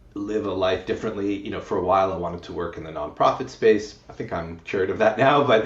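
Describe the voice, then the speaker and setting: A man talking at a very fast clip, with audible room echo. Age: 40s. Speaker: retired engineer. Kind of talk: interview.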